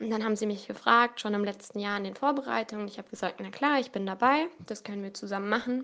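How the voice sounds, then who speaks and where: A bright, sharp tone with big swings in loudness. Delivered at a very fast pace, it has hardly any pauses. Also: woman, fairly high pitch for a woman, ordinary pitch variation. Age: 20s. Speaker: student and scout leader. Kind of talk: interview.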